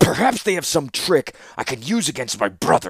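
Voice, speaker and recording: In a put-on character voice, a man growls and wheezes at a moderate pace. His pitch makes very wide swings. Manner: bellowing, snarling, contemptuous.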